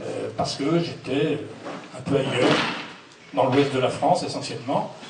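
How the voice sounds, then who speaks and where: The speech moves at a fairly slow pace with ordinary pitch variation. Audible room echo and noticeable background noise fill the recording. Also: man. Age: 60s. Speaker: local election candidate, list leader. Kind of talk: public meeting speech. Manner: halting, many hesitations.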